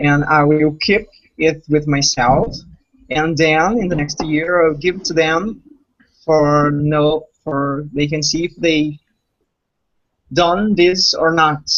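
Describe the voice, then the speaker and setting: Using a Portuguese accent, a man with a fairly high pitch speaks at a very slow pace with fairly even intonation and long, frequent pauses. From Brazil. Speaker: language learner. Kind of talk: casual chat. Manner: halting.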